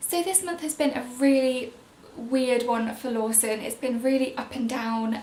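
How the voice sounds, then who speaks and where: A woman with a high pitch talks at a fairly slow pace with ordinary pitch variation. Audible room echo and noticeable background noise fill the recording. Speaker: parenting vlogger. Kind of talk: casual vlog update. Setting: at home, baby napping above. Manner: quiet; chatty.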